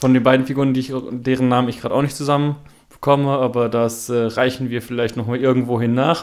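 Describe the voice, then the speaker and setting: A very fast pace in a monotone, flat intonation. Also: man, medium pitch for a man. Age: 20s. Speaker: podcast co-host. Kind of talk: casual chat.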